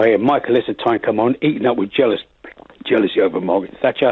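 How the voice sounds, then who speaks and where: The speech comes at a very fast pace in a London accent. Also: man. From London, Finsbury Park. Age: 80s+. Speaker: caller. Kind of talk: radio phone-in.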